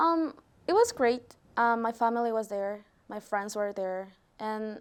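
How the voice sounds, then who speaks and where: A fairly high-pitched woman with a Peruvian accent at a fairly slow pace, on a very clean recording with a silent background. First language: Spanish. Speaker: college student. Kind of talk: interview. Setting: studio. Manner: hesitant.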